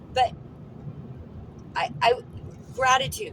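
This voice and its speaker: Noticeable background noise sits behind this recording. A woman speaks at a moderate pace. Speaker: lifestyle vlogger. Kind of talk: casual vlog talk. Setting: in a car. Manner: loud; repetitive stammering.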